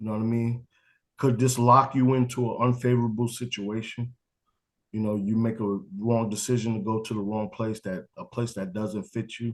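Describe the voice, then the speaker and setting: The delivery runs at a moderate pace with monotone, flat intonation. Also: man, medium pitch for a man. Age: 40s. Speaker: college football coach. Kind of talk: interview. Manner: casual.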